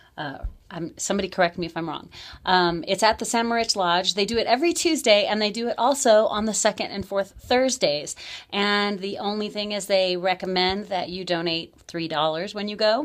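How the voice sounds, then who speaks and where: The speech has lively intonation and a fairly quick pace. The recording is very clean, with a silent background. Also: woman, medium pitch for a woman. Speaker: local events host. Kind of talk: community events roundup.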